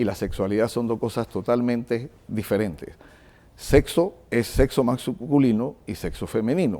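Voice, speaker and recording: A man talks at a fairly slow pace in a medium-pitched voice. His tone is dark and mellow, with ordinary pitch variation. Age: 60s. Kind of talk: TV interview.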